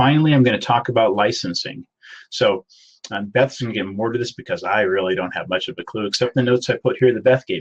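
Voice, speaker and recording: At a very fast pace, a man talks in a somewhat breathy voice, the sound dry and close with no echo. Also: medium pitch for a man, ordinary pitch variation. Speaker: IT consultant presenting a webinar. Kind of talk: webinar presentation.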